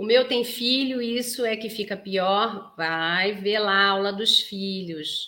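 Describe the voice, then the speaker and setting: With a bright, sharp tone and medium pitch, a woman talks at a very slow pace with hardly any pauses and ordinary pitch variation. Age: 40s. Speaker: psychoanalyst and couples therapist. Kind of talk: live stream talk to viewers. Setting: live stream. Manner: animated.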